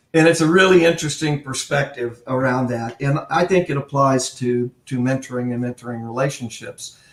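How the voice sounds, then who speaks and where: An unremarkable speaking voice, from a man at a medium pitch. He keeps a moderate pace with ordinary pitch variation. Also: hardly any pauses. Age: 60s. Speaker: retired army colonel and mentoring author. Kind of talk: interview conversation.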